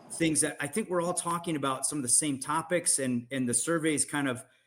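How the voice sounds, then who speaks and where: A man has a plain, everyday voice, fairly high in pitch with ordinary pitch variation. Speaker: podcast host. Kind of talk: podcast interview.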